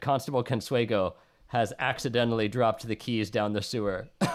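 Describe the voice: Plain reading aloud, with fairly even intonation.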